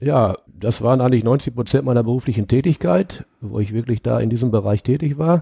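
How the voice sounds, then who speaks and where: A man speaks at medium pitch and a fairly quick pace with hardly any pauses, his dark, mellow, somewhat breathy tone showing ordinary pitch variation in a dry, close sound with no echo. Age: 50s. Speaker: retired coal miner. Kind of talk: interview.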